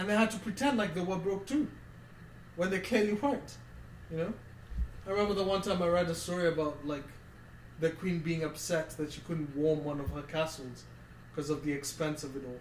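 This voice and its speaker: Noticeable background noise surrounds a man with a high pitch and an animated tone. He moves at a fairly quick pace but takes long, frequent pauses. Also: ordinary pitch variation. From Kenya. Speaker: football podcast co-host. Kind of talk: casual chat.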